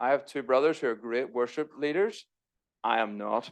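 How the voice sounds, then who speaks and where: Against a quiet background, a man talks at a moderate pace and medium pitch with fairly even intonation. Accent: Irish. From Northern Ireland. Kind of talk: church talk. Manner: casual, self-deprecating asides.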